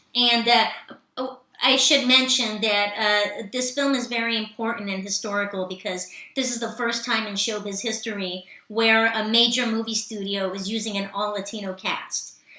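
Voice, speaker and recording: A woman talks at a fairly high pitch and a moderate pace. Her intonation stays fairly even, and the room echo is audible. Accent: Californian. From Los Angeles, US. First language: Spanish. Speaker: actress and stand-up comedian. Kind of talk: casual interview chat. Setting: live online show. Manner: halting, many fillers.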